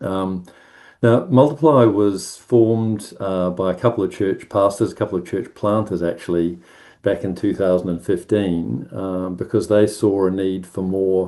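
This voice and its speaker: Against a quiet background, a man with a very deep, low voice and a dark, mellow tone speaks at a moderate pace with ordinary pitch variation. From New Zealand, South Island (Timaru). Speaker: ministry organisation manager. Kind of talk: presentation at online prayer meeting. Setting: online video call. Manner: hesitant, many fillers.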